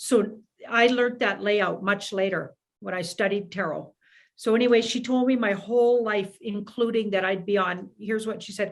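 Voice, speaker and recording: In a normal speaking voice, a woman with a fairly high pitch speaks at a moderate pace with fairly even intonation against a quiet background. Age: 60s. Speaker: tarot reader. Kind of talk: casual chat.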